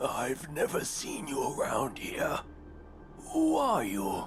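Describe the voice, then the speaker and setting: Putting on a raspy character voice, a man speaks very slowly over clear background noise. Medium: short film. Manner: evasive, terse.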